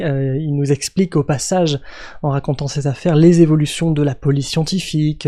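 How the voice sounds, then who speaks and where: A man's dark, mellow voice at a fairly quick pace. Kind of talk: casual podcast recommendation to camera. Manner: enthusiastic, hesitant with fillers.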